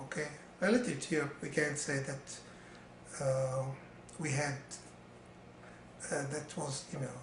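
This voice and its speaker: Over noticeable background noise, a man with an Arabic accent and a fairly high pitch speaks at a moderate pace. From Syria and Lebanon. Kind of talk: interview answer. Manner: hesitant, many fillers.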